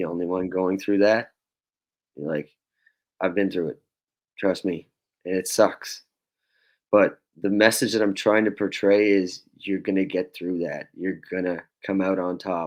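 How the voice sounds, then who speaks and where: An Atlantic Canadian accent at a fairly slow pace, with long, frequent pauses, fairly even intonation and a quiet background. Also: man, very deep, low pitch for a man. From Nova Scotia, Canada. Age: 20s. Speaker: singer-songwriter. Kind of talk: podcast interview answer.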